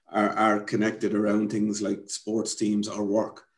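With a Wexford Irish accent, a man speaks at a fairly low pitch. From Ireland, rural County Wexford. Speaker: community development founder. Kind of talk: interview. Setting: at home.

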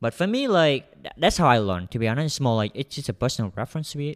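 A man with a Vietnamese accent talks with lively intonation. The recording is very clean with a silent background, and the sound is dry and close with no echo. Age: young. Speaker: software developer. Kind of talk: interview.

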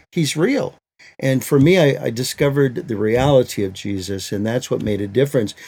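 Speaking at a fairly quick pace with an American accent, a man has a medium pitch and a dark, mellow tone. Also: lively intonation. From Michigan, US. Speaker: Bible translator and ministry leader. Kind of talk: interview.

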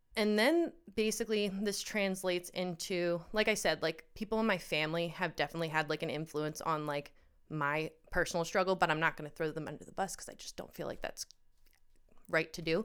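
In an American accent, a woman with a normal speaking voice talks at a fairly quick pace and fairly low pitch, with ordinary pitch variation and big swings in loudness, on a very clean recording with a silent background. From Pennsylvania, US. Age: 30s. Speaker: guest sharing eating disorder story. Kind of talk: personal testimony in casual chat.

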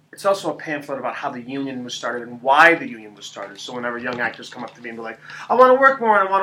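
A man with an American accent and a fairly high pitch races at a very fast pace with hardly any pauses, very wide pitch swings and big swings in loudness, over noticeable background noise. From US Northeast, central Connecticut. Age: 40s. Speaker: stage actor. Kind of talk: casual chat.

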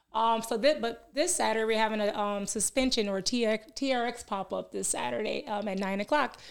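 With an American accent and a plain, everyday voice, a woman speaks at a moderate pace with hardly any pauses, her fairly high pitch showing ordinary variation. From Milwaukee, Wisconsin. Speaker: fitness business owner and life coach. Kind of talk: podcast interview. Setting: studio.

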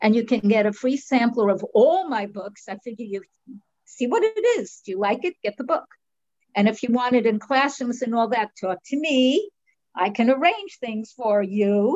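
A woman's fairly high voice at a moderate pace, with lively intonation and a dry, close sound with no echo. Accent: New York. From New York (Brooklyn, Long Island). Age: 70s. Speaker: author and artist. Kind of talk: interview. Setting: video call. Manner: animated.

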